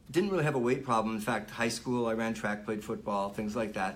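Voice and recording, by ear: A man talks with a fairly low pitch and ordinary pitch variation. Room echo is audible.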